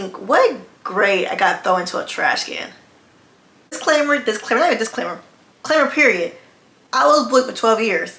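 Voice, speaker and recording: Over noticeable background noise, a woman with a high pitch speaks at a fairly quick pace, her pitch swinging very widely between long, frequent pauses. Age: 20s. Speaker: fashion designer, content creator. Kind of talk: casual storytime talk to camera. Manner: fast.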